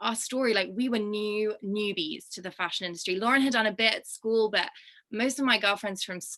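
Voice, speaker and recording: A woman's medium-pitched voice with a British accent, bright and sharp in tone, at a moderate pace with ordinary pitch variation. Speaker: fashion brand co-founder. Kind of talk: casual chat. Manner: animated.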